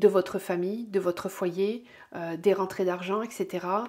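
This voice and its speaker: A woman with a dark, mellow tone speaks fairly slowly at a medium pitch, her intonation fairly even. The recording is very clean, with a silent background. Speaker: tarot and energy reader. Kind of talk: weekly oracle card reading guidance. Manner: hesitant, many fillers.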